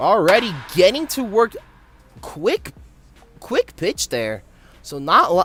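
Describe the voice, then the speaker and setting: Over music in the background, a man speaks at a very slow pace with long, frequent pauses. The sound is dry and close, with no echo. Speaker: play-by-play commentator for an online baseball game league. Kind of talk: live commentary. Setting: live stream. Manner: halting, stumbles over words.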